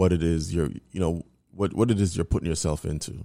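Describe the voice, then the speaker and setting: A man's very deep, low voice of dark, mellow tone, with ordinary pitch variation, in a very clean recording with a silent background. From New York. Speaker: podcast host. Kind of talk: casual chat.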